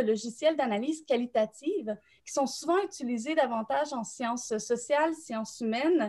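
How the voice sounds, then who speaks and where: In a Quebec accent, a woman speaks at a high pitch and a moderate pace, with a dark, mellow tone, ordinary pitch variation and a quiet background. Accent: Québécois French. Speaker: nonprofit co-founder and director; thesis coaching service representative. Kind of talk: live-stream panel discussion. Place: home room. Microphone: webcam.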